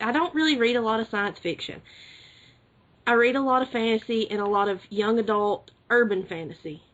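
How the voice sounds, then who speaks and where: A woman speaks with an Alabama accent at a moderate pace. Her pitch varies in an ordinary way. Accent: Southern US (Alabama). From US South, rural Alabama. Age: 20s. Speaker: podcast co-host. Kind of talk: casual chat.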